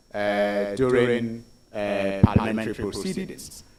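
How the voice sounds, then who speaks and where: Very slow speech from a man, noticeable background noise behind it. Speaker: ministerial nominee at vetting hearing. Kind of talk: parliamentary vetting testimony.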